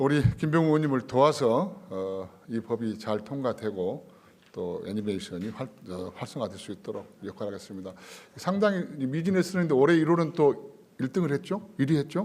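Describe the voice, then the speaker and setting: At a moderate pace, a man speaks at a fairly high pitch, with very wide pitch swings. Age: 60s. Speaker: politician. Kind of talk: formal welcome speech. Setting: conference room at parliament.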